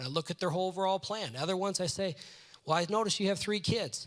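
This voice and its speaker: At a very fast pace, a man talks with a high pitch and ordinary pitch variation. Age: 40s. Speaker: financial class teacher. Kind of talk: lecture.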